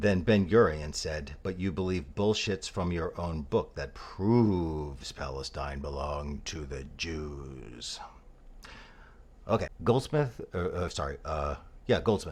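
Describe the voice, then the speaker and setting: Very slowly, a man speaks at a very deep, low pitch with vocal fry and lively intonation. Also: quiet background. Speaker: political commentator. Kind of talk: response video rant. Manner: quiet, kept voice down; coy-sounding.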